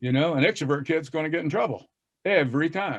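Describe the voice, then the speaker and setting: A man with an American accent speaks at a fairly quick pace, with a fairly high pitch and ordinary pitch variation. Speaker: reading educator. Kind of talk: casual panel discussion. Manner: drops g in -ing endings.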